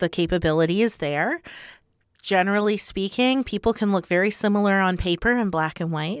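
A woman with an unremarkable speaking voice speaks at medium pitch and a moderate pace, her intonation lively, the sound dry and close with no echo on a very clean recording over a silent background. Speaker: recruiter and coach. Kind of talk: casual interview chat.

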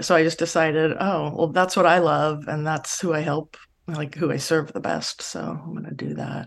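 At a moderate pace, a woman talks in a very deep, low pitch. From California, Los Angeles area. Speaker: psychologist. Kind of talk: interview.

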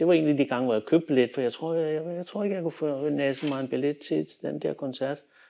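In a very clean recording with a silent background, a man with a dark, mellow tone and a fairly high pitch talks very fast with hardly any pauses and ordinary pitch variation. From Denmark, Copenhagen western suburbs. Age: 60s. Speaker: music photographer and filmmaker. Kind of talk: interview storytelling. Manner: halting, many fillers and repetitions.

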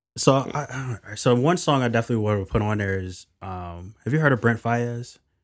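On a very clean recording with a silent background, a man with an American accent speaks fairly quickly in an ordinary speaking voice, with a medium pitch, ordinary pitch variation and big swings in loudness. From Philadelphia, US. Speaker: music brand strategist. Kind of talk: casual interview chat.

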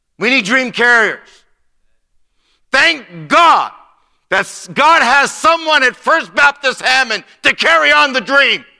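At an extremely high pitch, a man with an American accent projects a raised voice with a bright, sharp tone, lively intonation and a very slow pace, on a very clean recording with a silent background. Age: 60s. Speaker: missionary preacher. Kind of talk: sermon. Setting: church.

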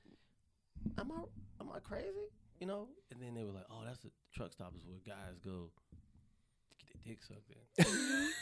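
A man with an American accent speaks with big swings in loudness and long, frequent pauses. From US South, North Carolina. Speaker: comedian. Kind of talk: casual chat. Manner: fast talker.

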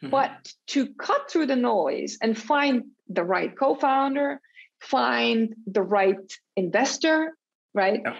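At a very slow pace, a woman speaks high in pitch with lively intonation. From Switzerland and Colombia. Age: 50s. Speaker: startup founder and executive. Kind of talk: interview.

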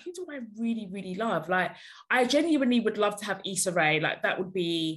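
A woman's somewhat breathy voice at a fairly quick pace, with very wide pitch swings and a quiet background. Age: 30s. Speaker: podcast co-host and author. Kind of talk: casual chat.

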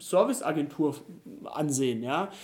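A man speaks with lively intonation. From Germany, Rhineland-Palatinate (Idar-Oberstein). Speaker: pastor, candidate for church superintendent. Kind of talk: interview. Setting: in person at his place. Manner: hesitant with frequent fillers.

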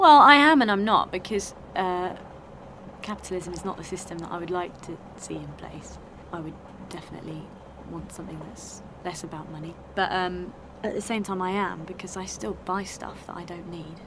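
Speech at a fairly quick pace with ordinary pitch variation comes with long, frequent pauses, big swings in loudness, audible room echo, and noticeable background noise. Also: woman, medium pitch for a woman. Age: 30s. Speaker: activist, music teacher. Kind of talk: casual interview and on-the-spot reporting.

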